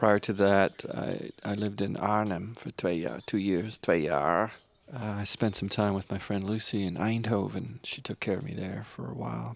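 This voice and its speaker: Speaking at a moderate pace, a man with a fairly low pitch shows ordinary pitch variation and vocal fry. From Canada. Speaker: singer-songwriter. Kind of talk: interview storytelling. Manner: halting.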